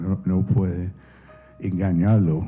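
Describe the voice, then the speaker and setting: Over music in the background, a man with an American accent speaks at a very slow pace in a very deep, low voice with ordinary pitch variation. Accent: American accent in Spanish, noticeable. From United States. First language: English (speaking Spanish). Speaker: novelist. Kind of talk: interview. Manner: halting, many repetitions.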